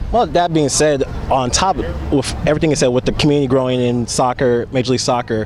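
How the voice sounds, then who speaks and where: Over noticeable background noise, a man speaks with an upbeat tone at a fairly quick pace. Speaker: sports radio host. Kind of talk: sports radio interview host.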